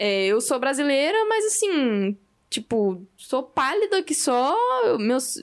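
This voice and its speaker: A woman's high voice, very slow, with very wide pitch swings and very even loudness. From Brazil. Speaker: podcast host. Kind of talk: casual chat.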